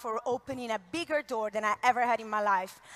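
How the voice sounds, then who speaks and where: Noticeable background noise sits behind a woman with an Italian accent who uses a raised, projected voice at a moderate pace. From Italy. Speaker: network marketing leader. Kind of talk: motivational talk. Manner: animated, uses hands.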